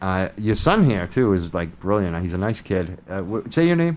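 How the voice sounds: Low in pitch, a man talks with big pitch swings. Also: moderate pace.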